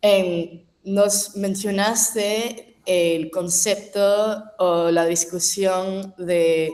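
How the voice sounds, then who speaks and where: Speaking very slowly with an English accent, a woman keeps a medium pitch and fairly even intonation. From New York, US. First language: English (speaking Spanish). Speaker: audience member asking question. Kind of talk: Q&A question. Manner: halting.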